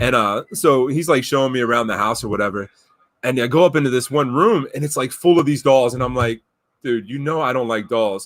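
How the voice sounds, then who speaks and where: In a normal speaking voice, a man talks fairly quickly at a medium pitch with ordinary pitch variation. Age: 40s. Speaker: podcast host. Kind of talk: casual chat. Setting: live stream.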